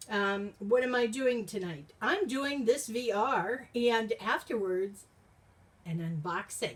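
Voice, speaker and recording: The voice moves at a very slow pace with lively intonation. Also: woman, fairly high pitch for a woman. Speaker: YouTuber. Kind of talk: casual monologue. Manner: loud.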